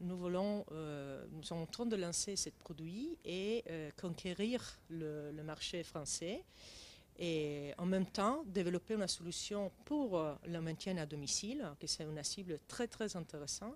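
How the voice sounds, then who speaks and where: A woman with an Italian accent speaks at a very slow pace and a fairly low pitch. The recording is very clean, with a silent background. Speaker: tech company CEO. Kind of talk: interview. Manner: halting, many hesitations.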